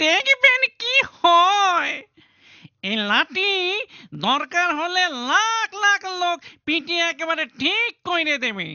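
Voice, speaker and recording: Extremely high-pitched, cartoonish character voice. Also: fairly slow pace. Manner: pleading, obsequious.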